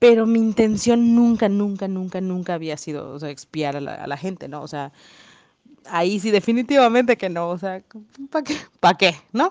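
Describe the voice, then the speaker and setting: Animated woman at medium pitch, with lively intonation, big swings in loudness and a moderate pace. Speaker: podcaster, real estate agent. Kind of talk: casual monologue.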